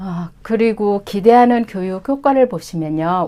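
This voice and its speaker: Lively in intonation and fairly slow in pace, a woman speaks in a very clean recording with a silent background. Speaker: Chinese language instructor. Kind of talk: course information session.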